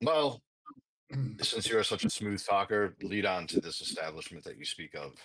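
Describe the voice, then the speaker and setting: A man puts on a character voice that is raspy and fairly low in pitch. He talks at a moderate pace. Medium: actual play. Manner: formal, stilted phrasing.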